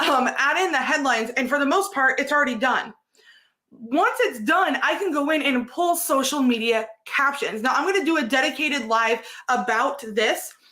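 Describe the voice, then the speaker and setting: A woman speaks in a raised, projected voice at a high pitch, her tone bright and sharp. She keeps a moderate pace with lively intonation and very even loudness. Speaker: content creation coach. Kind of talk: live stream tutorial. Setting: live stream.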